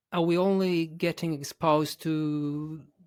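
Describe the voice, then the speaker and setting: Someone talks with an Italian accent and fairly even intonation. The recording is very clean, with a silent background. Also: man. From Italy. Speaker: English teacher and podcast host. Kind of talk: interview question.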